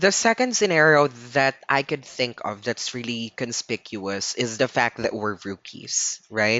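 A man's medium-pitched voice at a fairly slow pace, with ordinary pitch variation and hardly any pauses. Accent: Filipino. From Philippines. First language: Tagalog. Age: 20s. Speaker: podcast host. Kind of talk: solo podcast monologue, Taglish.

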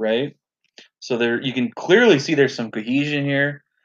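A man talks at a fairly quick pace with ordinary pitch variation. His is an unremarkable speaking voice. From Canada. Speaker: podcast co-host, online game player. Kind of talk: casual chat.

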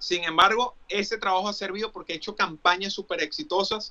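Bright and sharp in tone, a man with a Venezuelan accent speaks at a fairly quick pace. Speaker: Paralympic sports promoter. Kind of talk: casual chat.

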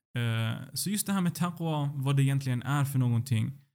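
In a dark, mellow tone, a man's voice sits at a medium pitch. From Sweden. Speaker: doctoral student in Islamic philosophy. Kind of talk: religious teaching conversation.

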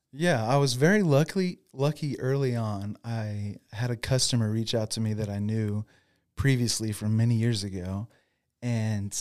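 A man's plain, everyday voice, medium-pitched with ordinary pitch variation and big swings in loudness, at a moderate pace on a very clean recording with a silent background. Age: 40s. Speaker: lawn care business owner, former pastor. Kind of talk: interview.

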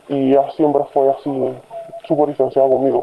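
A woman with a very deep, low pitch talks amid noticeable background noise. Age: young. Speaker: person living with depression. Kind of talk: testimony.

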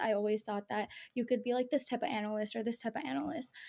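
A woman speaks with fairly even intonation. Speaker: best friend of the hosts. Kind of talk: casual chat.

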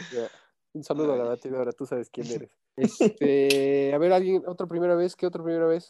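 In a plain, everyday voice, a man talks at a fairly quick pace and fairly high pitch with ordinary pitch variation, the sound dry and close with no echo. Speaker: podcast host. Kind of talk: casual chat.

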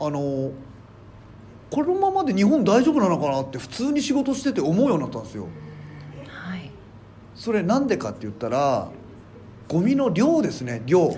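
Amid audible room echo, a man with a high-pitched voice speaks in very wide pitch swings, leaving long, frequent pauses. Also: moderate pace. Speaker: comedian and garbage collector. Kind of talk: casual chat.

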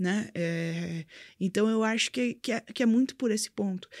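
Over a very clean recording with a silent background and a dry, close sound with no echo, a woman speaks at a moderate pace with lively intonation. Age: 20s. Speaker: crypto and blockchain entrepreneur. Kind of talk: interview, casual chat. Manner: halting, many fillers.

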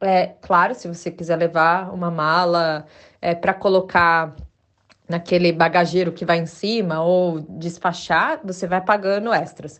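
Fairly low-pitched woman's voice at a fairly slow pace. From Brazil. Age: 40s. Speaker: podcast host, sustainable stylist. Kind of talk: casual solo podcast monologue. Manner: hesitant, many filler words.

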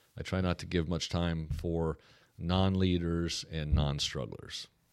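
A man's very deep, low voice comes through in an American accent. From US Pacific Northwest, Portland, Oregon. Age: 50s. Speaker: pastor and church planter. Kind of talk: casual interview chat.

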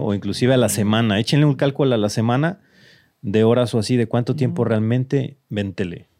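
A man with a medium pitch and a dark, mellow tone speaks at a fairly quick pace. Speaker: tech podcast host. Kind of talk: casual chat.

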